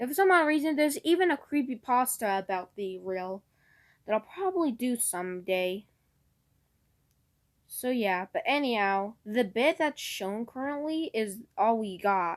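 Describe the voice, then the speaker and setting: With very wide pitch swings, a woman's fairly high voice comes through on a very clean recording with a silent background. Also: moderate pace. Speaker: YouTuber covering lost media. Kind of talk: casual video commentary. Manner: stuttering; louder than usual.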